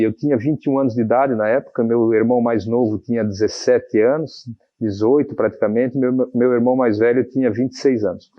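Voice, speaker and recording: With a plain, everyday voice, a man speaks at a medium pitch and a fairly quick pace with fairly even intonation. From Santa Catarina, Brazil (Pouso Redondo, then Navegantes from age 12). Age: 40s. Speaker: mayor-elect, businessman. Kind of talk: TV interview.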